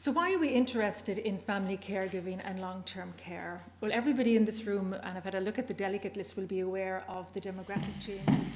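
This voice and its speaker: Very fast, hardly any pauses, a woman at medium pitch with fairly even intonation, amid noticeable background noise. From Northern Ireland. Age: older. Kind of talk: conference presentation.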